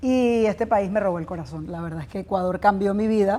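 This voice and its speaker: A woman speaks at a fairly quick pace. Her pitch is medium, with ordinary pitch variation. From Venezuela. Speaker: business executive and entrepreneur. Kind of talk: interview. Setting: business event.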